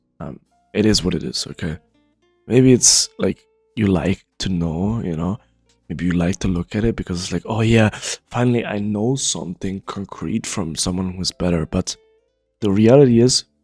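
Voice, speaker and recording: With music in the background, a man speaks at a moderate pace in a fairly low voice, using ordinary pitch variation and long, frequent pauses, the sound dry and close with no echo. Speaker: League of Legends coach. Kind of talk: tutorial talk to viewers.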